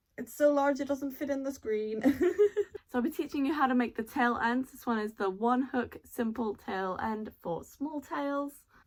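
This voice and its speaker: This woman has a British accent and a high pitch. She talks at a moderate pace with ordinary pitch variation and big swings in loudness. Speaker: fursuit maker. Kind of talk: tutorial; scripted narration.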